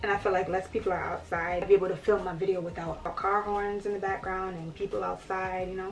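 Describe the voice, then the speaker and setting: A woman at a medium pitch talks very fast with hardly any pauses. Her intonation is monotone and flat, with light background noise. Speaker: beauty influencer. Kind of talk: casual talk to camera. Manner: chatty, relaxed. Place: home room.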